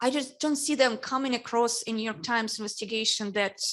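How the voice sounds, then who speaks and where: Captured in a very clean recording with a silent background, a woman speaks with a Russian accent and fairly even intonation. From Ukraine. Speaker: newspaper editor on a panel. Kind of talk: panel discussion.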